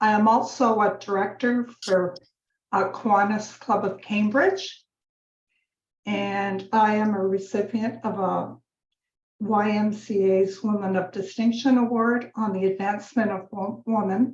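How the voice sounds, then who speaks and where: A woman with a Canadian accent, medium pitch, a somewhat breathy voice and monotone, flat intonation, at a fairly slow pace. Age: 70s. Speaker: women's association president. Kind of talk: round table introduction.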